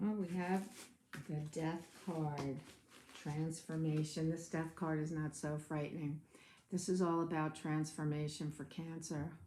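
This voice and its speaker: A woman's very deep, low voice, dark and mellow in tone, flat and monotone at a fairly slow pace. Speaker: tarot reader. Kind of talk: tarot reading.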